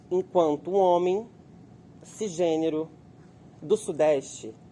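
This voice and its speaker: A man's fairly high voice with a dark, mellow tone. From Brazil, Volta Redonda, southern Rio de Janeiro state. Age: 20s. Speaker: actor. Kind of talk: interview testimony.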